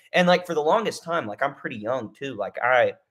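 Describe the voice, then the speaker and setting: This man talks with a Texan accent. His tone is animated and his intonation lively. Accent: Texan American. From Texas. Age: 20s. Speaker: MMA YouTuber. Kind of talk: casual livestream commentary. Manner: halting.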